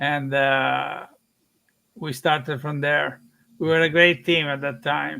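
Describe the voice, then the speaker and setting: In an Italian accent, a man with a fairly high pitch speaks very slowly, with fairly even intonation and long, frequent pauses. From Italy. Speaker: film director. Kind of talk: interview on live stream. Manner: hesitant, many fillers.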